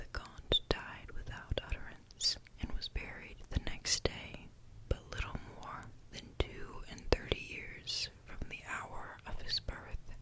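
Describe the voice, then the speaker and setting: Whispering at a very slow pace over noticeable background noise. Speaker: ASMR story reader. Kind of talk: whispered story reading for ASMR. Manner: whispered.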